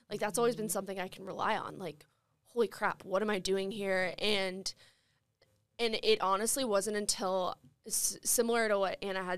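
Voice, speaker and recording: In an unremarkable speaking voice, a woman talks at a fairly quick pace, medium in pitch with fairly even intonation. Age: 20s. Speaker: former college athlete and advocate. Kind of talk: panel discussion.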